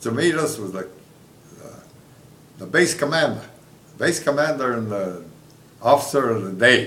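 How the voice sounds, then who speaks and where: A man speaks at a moderate pace with very wide pitch swings, against noticeable background noise. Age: 80s+. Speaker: war veteran. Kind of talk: interview answer. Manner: hesitant, halting.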